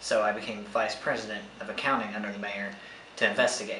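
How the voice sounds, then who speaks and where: Fairly quick speech from a man, light noise behind him and noticeable echo in the room. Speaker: actor playing an undercover investigator. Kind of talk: mockumentary interview answer. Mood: serious, slightly nervous. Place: home room.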